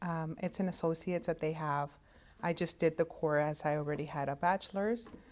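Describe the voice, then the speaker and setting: A woman's fairly low voice with a Spanish accent, ordinary pitch variation, and a very clean recording over a silent background. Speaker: hospital interpreting services director. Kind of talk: career talk to students. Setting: virtual conference. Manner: halting, many fillers.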